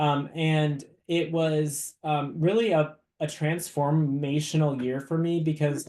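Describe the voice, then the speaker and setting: Fairly high in pitch, a man with an American accent talks in a monotone, flat intonation. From US Midwest, Minnesota. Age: 30s. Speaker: university diversity officer. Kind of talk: webinar presentation. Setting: video webinar. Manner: hesitant, many fillers.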